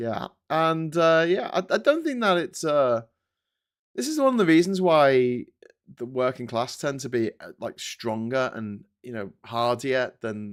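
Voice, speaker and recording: Lively in intonation, a man with an ordinary speaking voice and a fairly high pitch talks at a fairly slow pace. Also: big swings in loudness, very clean recording, silent background. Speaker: political commentator and live streamer. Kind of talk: casual live-stream commentary. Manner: conversational, irreverent, rambling.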